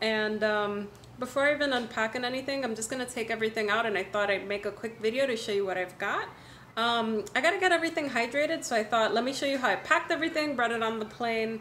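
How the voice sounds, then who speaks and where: Speaking very fast, a woman is heard over light background noise. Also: ordinary pitch variation. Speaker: orchid hobbyist vlogger. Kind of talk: casual vlog chat. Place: kitchen. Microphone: phone near.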